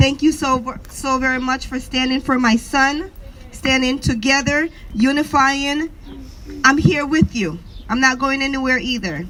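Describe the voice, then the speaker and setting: A high-pitched woman at a fairly slow pace, with noticeable background noise. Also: ordinary pitch variation. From Jamaica. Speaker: activist mother. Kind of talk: protest speech. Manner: impromptu.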